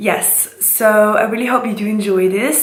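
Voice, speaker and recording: A woman with a German accent speaks at a medium pitch and moderate pace with fairly even intonation, amid noticeable background noise and audible room echo. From Switzerland. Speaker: beauty vlogger. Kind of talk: casual vlog intro. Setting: home kitchen.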